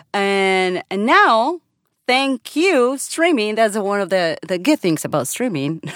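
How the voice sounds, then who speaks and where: A woman speaks very slowly at a fairly high pitch, with very wide pitch swings. The recording is very clean and silent behind her, the sound dry and close with no echo. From Colombia. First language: Spanish. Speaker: voiceover artist. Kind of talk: casual chat.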